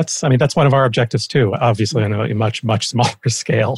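A man speaks at a very fast pace at medium pitch, somewhat breathy, in a dry, close sound with no echo. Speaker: policy researcher, co-host.

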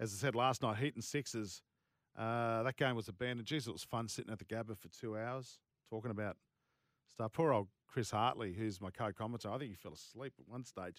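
A man with an Australian accent speaks at a medium pitch and a fairly quick pace. The sound is dry and close with no echo, in a very clean recording with a silent background. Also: ordinary pitch variation. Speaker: sports radio host. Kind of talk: casual radio chat. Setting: studio. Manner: animated.

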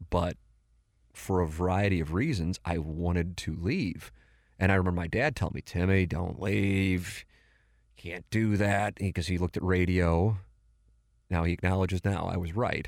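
A man with an American accent speaks at a very deep, low pitch, with fairly even intonation and long, frequent pauses. The recording is very clean, with a silent background. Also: moderate pace. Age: 40s. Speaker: podcast host. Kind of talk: casual chat. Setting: studio.

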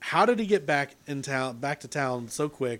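This man's voice is fairly high in pitch, with ordinary pitch variation. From Britain. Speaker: podcast host. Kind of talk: casual chat.

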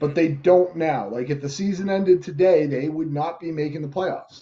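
This man has a fairly high pitch, a dark, mellow tone that is somewhat breathy, ordinary pitch variation and a moderate pace. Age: 40s. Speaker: sports podcast co-host. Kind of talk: casual chat.

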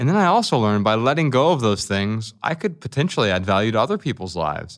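A man with an American accent and a normal speaking voice, medium in pitch, at a fairly quick pace, in a very clean recording with a silent background. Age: 40s. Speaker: writer and speaker on minimalism. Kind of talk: interview conversation.

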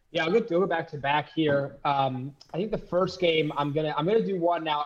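A man rattles along at a very fast pace while noticeable background noise plays underneath. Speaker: co-host. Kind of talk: casual sports banter and betting picks.

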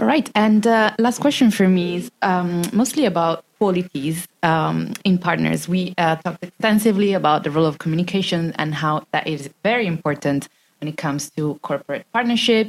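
Her voice is fairly low and unremarkable, with lively intonation. The woman keeps a moderate pace with hardly any pauses. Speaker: co-host interviewer. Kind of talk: interview.

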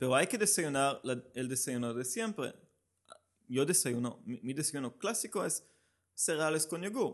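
A man with a Hebrew accent speaks fairly slowly in a fairly high voice. His intonation is lively, and the background is quiet. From Israel. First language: Hebrew (speaking Spanish). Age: 30s. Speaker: amateur runner, running group organizer. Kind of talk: casual interview. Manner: halting.

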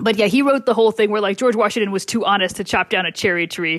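Her voice is an unremarkable speaking voice at a medium pitch. The woman's intonation is fairly even. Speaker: columnist guest. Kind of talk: casual chat.

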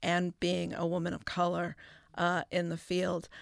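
In a normal speaking voice, a woman with an American accent and fairly low pitch talks at a fairly slow pace in a dry, close sound with no echo, a very clean recording with a silent background. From Chicago. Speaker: astronomer. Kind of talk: roundtable discussion.

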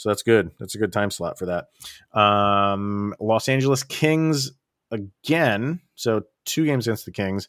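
A man speaks in an unremarkable speaking voice, fairly low in pitch, at a fairly slow pace with lively intonation, on a very clean recording with a silent background. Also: dry, close sound with no echo. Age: 40s. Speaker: sports podcast host. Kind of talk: casual chat.

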